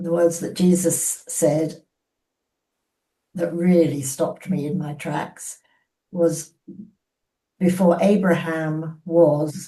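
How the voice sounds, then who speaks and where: A woman speaks at a very slow pace in a monotone, flat intonation, with long, frequent pauses. Her voice is fairly low, somewhat breathy and dark and mellow in tone. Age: 80s+. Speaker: book group participant. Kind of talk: casual chat. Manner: halting.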